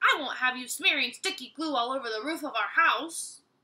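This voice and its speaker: A woman puts on a character voice with a high pitch. She moves at a fairly quick pace. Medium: read story.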